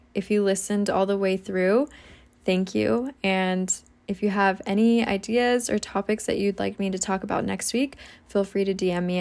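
A woman speaks in a plain, everyday voice at a medium pitch with fairly even intonation. The recording is very clean, with a silent background. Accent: American. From US. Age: 20s. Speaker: podcaster and social media creator. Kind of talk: casual monologue.

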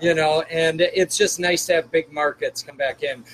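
Over noticeable background noise, a speaker with an American accent talks at a moderate pace in a monotone, flat intonation, with a dry, close sound and no echo. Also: man. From Chicago. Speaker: hockey team general manager, coach and captain. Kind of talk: casual interview.

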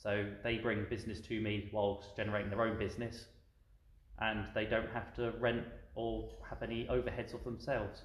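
A man with a southern English accent, fairly low pitch, vocal fry and a monotone, flat intonation, at a moderate pace with audible room echo. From southern England. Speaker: tea shop owner, ex-military. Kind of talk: casual interview. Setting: in his tea shop.

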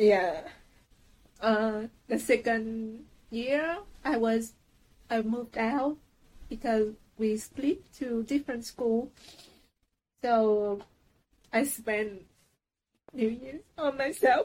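A woman with a Vietnamese accent, fairly high pitch, ordinary pitch variation, a very slow pace and long, frequent pauses. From Saigon, southern Vietnam. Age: 30s. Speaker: trainee manager. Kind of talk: interview. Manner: halting, many fillers.

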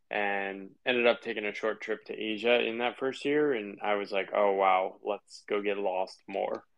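An ordinary speaking voice with an American accent, fairly even intonation, a moderate pace and hardly any pauses. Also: man, fairly low pitch for a man. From US Northeast, Connecticut. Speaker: writer and former consultant. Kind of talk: casual interview.

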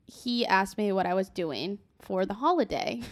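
With an ordinary speaking voice, a woman talks at a moderate pace with lively intonation, the recording very clean and the background silent. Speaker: podcast co-host. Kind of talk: casual chat.

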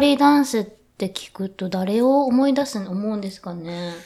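Speaking at a moderate pace, a woman with an unremarkable speaking voice has fairly high pitch and lively intonation. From Yokohama, Kanagawa, Japan. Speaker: contemporary dancer. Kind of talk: casual interview chat. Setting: hotel studio, live stream.

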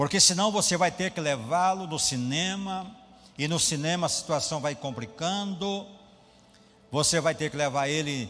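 A man with a Brazilian accent speaks at a fairly slow pace. His pitch sits fairly high. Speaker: pastor. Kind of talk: sermon.

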